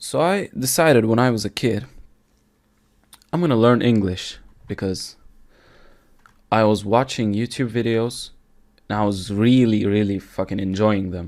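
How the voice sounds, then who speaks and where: A man with a Turkish accent, medium pitch, moderate pace and long, frequent pauses. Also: ordinary pitch variation. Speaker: podcaster. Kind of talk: casual solo monologue. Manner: casual, with fillers and self-corrections.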